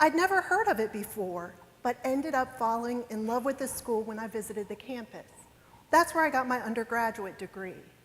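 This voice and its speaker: A woman with a West Virginia accent and a fairly high pitch talks at a fairly quick pace with lively intonation over noticeable background noise. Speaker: lawyer. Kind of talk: motivational talk. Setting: stage with audience.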